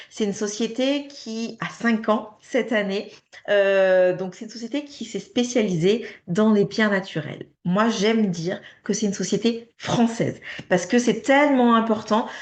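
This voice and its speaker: Fairly slow pace with ordinary pitch variation. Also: woman. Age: 30s. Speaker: direct sales distributor. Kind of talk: sales pitch. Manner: hesitant, many fillers.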